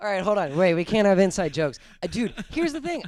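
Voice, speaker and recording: In an American accent, the speaker talks at a very fast pace with very wide pitch swings. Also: man. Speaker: podcast host, musician. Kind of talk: casual chat.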